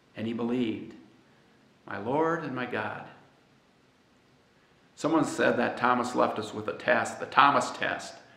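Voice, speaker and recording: Long, frequent pauses and big swings in loudness mark this speech, with ordinary pitch variation. Audible room echo surrounds the voice. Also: man. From United States. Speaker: pastor. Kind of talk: sermon. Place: church.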